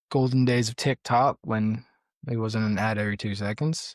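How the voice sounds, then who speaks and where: On a very clean recording with a silent background and a dry, close sound with no echo, a man with an American accent speaks at a moderate pace with fairly even intonation. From Central Florida. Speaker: podcast host. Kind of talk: casual chat.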